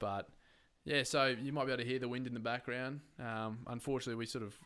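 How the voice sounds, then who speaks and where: Talking at a very fast pace, a man with an Australian accent keeps a medium pitch and a monotone, flat intonation. His tone is bright and sharp. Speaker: podcast host. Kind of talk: casual chat. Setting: at home, windows open.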